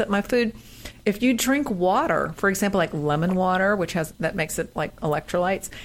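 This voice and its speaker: Noticeable background noise sits behind a woman speaking at a fairly quick pace and medium pitch with lively intonation. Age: 60s. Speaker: fitness podcast co-host and personal trainer. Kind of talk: casual chat.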